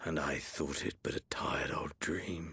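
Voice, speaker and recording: A man puts on a character voice that is raspy and very deep, low in pitch. He speaks at a moderate pace in a weary tone. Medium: video game. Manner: weary, detached.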